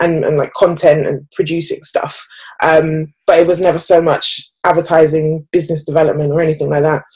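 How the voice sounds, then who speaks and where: A somewhat breathy woman at a very deep, low pitch, her intonation monotone and flat. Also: moderate pace. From England, Birmingham. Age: 20s. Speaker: advertising professional. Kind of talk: interview.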